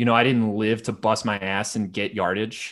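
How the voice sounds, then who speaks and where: A man with a plain, everyday voice speaks at a moderate pace in a medium pitch. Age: 30s. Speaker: swimmer and swim coach. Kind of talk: casual chat.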